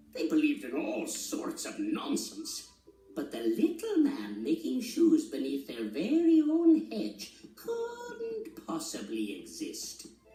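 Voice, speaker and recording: A gruff, put-on character voice moves at a fairly slow pace with a slight echo. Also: man. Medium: read story. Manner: gruff, boastful.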